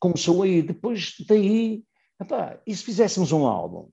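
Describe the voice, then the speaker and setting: Over a quiet background, a man talks at a moderate pace in a dark, mellow tone. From Portugal, Matosinhos. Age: 70s. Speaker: rock singer. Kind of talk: interview. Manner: animated; halting.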